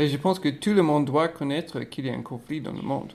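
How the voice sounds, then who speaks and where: Fairly high in pitch, a man's voice shows ordinary pitch variation. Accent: American. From United States. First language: English (speaking French). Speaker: podcast host. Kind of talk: casual chat.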